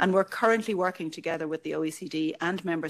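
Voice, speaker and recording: A woman with an Irish accent speaks at a very fast pace, her pitch very deep and low. Her intonation is fairly even, and the recording is very clean with a silent background. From Ireland. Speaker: EU official. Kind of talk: conference speech.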